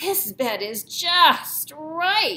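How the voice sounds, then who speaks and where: This put-on character voice sits at an extremely high pitch and makes very wide pitch swings. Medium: read story.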